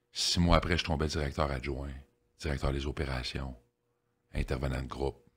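A man with a Quebec accent talks in a very deep, low pitch with vocal fry and a monotone, flat intonation. His pace is moderate, broken by long, frequent pauses. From Quebec, Victoriaville. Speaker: addiction counselor. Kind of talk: life story interview.

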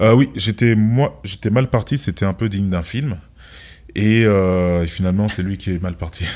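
A man with a fairly deep voice talks at a medium tempo with normal pitch variation, recorded very cleanly against a silent background. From France. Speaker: former kickboxing champion and entrepreneur. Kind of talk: interview. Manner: soft-spoken.

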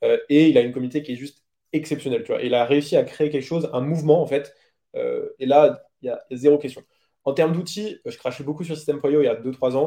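A man's voice, fairly high in pitch, with a dark, mellow tone and fairly even intonation. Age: 20s. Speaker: webinar agency founder. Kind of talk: interview. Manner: casual, filler-heavy.

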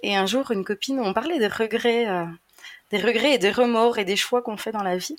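In an ordinary speaking voice, a woman talks at a fairly quick pace with fairly high pitch and ordinary pitch variation. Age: 30s. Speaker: traveling single mother. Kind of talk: casual interview.

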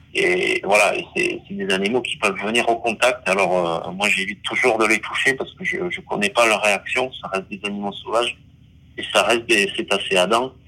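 Man at a moderate pace amid noticeable background noise. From French Basque Country. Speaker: underwater videographer and diver. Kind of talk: interview. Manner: hesitant, many fillers and repetitions.

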